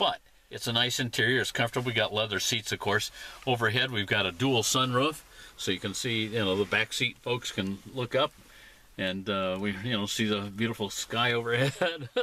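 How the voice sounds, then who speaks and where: This is a plain, everyday voice with ordinary pitch variation. It moves at a moderate pace. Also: man, medium pitch for a man. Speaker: car reviewer, automotive editor. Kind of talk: casual car review to camera.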